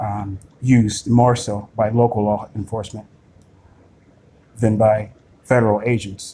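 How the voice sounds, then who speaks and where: A man with a dark, mellow tone speaks fairly low and fairly slowly, somewhat breathy, in a monotone, flat intonation. He leaves long, frequent pauses. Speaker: video blogger. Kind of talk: screen-recorded monologue. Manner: halting, many fillers.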